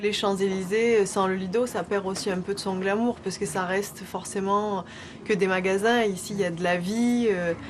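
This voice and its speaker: A woman with a medium pitch talks at a moderate pace in a monotone, flat intonation while noticeable background noise runs underneath. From southern France, Nîmes. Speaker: cabaret dancer. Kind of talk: interview.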